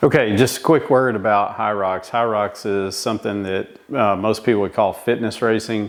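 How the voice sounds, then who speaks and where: A man has an unremarkable speaking voice with a fairly low pitch. He speaks at a moderate pace with fairly even intonation. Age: 50s. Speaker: amateur athlete vlogger. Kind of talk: casual vlog explanation. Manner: conversational with fillers.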